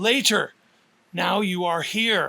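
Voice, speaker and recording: A man puts on a raspy character voice. His pitch is high. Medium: read story. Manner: terse, self-directed.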